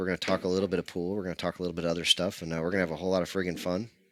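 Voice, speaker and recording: Bright, sharp tone in a dry, close sound with no echo, on a very clean recording with a silent background. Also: man. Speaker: pool stream commentator. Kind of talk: casual chat. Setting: streaming booth beside pool table. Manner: loud.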